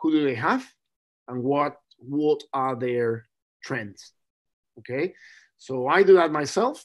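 A man with a Spanish accent, fairly high in pitch with ordinary variation, at a very slow pace with long, frequent pauses, over a quiet background. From Chile. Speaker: rugby scrum coach. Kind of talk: casual interview chat.

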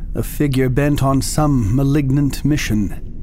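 Music plays behind a man speaking in a dramatic tone. His pitch sits fairly high. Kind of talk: literary horror reading. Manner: slow, dramatic, gothic intonation.

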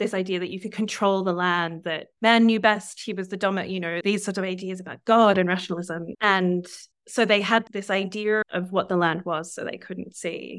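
Recorded very cleanly against a silent background, a woman with an Australian accent speaks at a moderate pace in a medium pitch, her intonation monotone and flat, with hardly any pauses. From southeast Australia. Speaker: novelist and creative writing teacher. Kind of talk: interview conversation.

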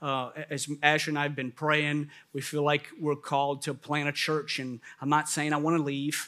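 Here a man speaks at a moderate pace in a New Orleans accent, fairly high in pitch. His intonation is monotone and flat, on a very clean recording with a silent background. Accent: New Orleans Southern American. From US South, New Orleans. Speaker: pastor. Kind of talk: sermon.

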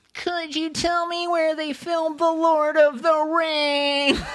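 A put-on character voice speaks at a high pitch. Its intonation is monotone and flat, and the pace fairly slow.

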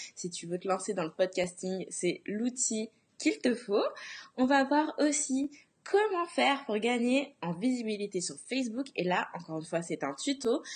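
A woman talks at a fairly slow pace, her fairly high voice moving in very wide pitch swings. The background is quiet. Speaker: blogging coach and podcast host. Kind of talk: Facebook Live tutorial talk. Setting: Facebook Live broadcast.

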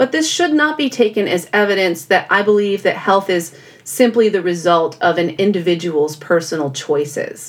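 In an American accent, a woman speaks at a moderate pace and medium pitch, with lively intonation, very even loudness and hardly any pauses. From California. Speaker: podcast host, health psychologist. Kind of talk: solo educational podcast monologue.

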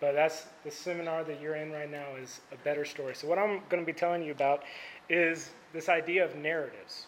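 A man's fairly high, monotone voice at a fairly quick pace, flat in intonation, with big swings in loudness. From Indiana, Indianapolis area. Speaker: campus ministry staff speaker. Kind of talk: sermon. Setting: stage with audience. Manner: soft-spoken.

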